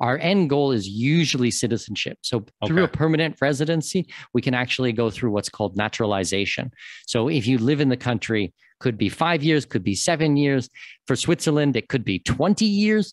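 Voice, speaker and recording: Speaking at a fairly quick pace with a Canadian accent, a man keeps his loudness very even while his pitch swings very widely, recorded with a dry sound, no echo, and a quiet background. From Canada, Toronto. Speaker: expat consultant and podcast host; podcast host. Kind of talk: interview. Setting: remote call. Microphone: video call.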